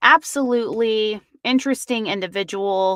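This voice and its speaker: An ordinary speaking voice moves at a fairly slow pace. The sound is dry and close with no echo, in a very clean recording with a silent background. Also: woman. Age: 30s. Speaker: true crime podcast host. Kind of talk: live stream true crime discussion. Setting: live stream. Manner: casual, with many fillers.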